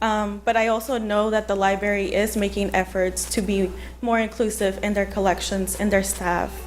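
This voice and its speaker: Against noticeable background noise, a woman with a Spanish accent speaks at a moderate pace and medium pitch, with monotone, flat intonation and very even loudness. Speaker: library staff member speaking at public comment. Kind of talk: public comment at city meeting.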